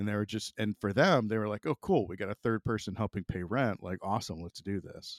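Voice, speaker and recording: A plain, everyday voice: a man with a fairly low pitch, ordinary pitch variation, a fairly quick pace and hardly any pauses, on a very clean recording with a silent background and a dry, close sound with no echo. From US South, Florida (Jacksonville). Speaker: professional yo-yo player. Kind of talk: casual storytelling chat.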